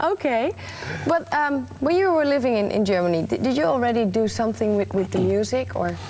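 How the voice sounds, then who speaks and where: Over noticeable background noise, a woman talks at a fairly quick pace with very even loudness. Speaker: TV presenter. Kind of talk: TV interview.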